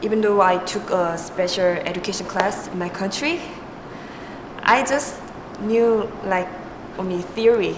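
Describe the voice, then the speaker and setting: A woman with a Korean accent speaks at a fairly slow pace and medium pitch, with ordinary pitch variation, long, frequent pauses, audible room echo and noticeable background noise. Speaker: student teaching assistant. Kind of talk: interview.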